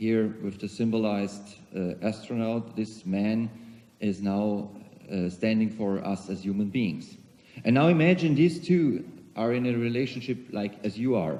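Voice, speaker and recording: A man with a German accent speaks fairly slowly at a fairly low pitch, with a dark, mellow tone, ordinary pitch variation, and audible room echo. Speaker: CEO of a global organization, keynote speaker. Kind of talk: conference keynote speech. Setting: conference hall with audience.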